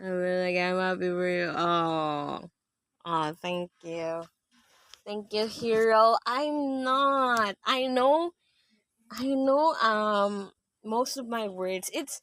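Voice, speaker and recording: A woman in a Filipino accent, fairly high-pitched with lively intonation at a very slow pace, on a very clean recording with a silent background. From Philippines. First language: Tagalog. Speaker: live streamer. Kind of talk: casual chat. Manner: halting.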